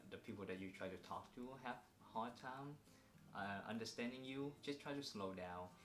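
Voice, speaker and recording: A man speaks at a moderate pace with a Vietnamese accent, medium pitch and ordinary pitch variation. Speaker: vlogger. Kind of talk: casual chat. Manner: hesitant, many fillers.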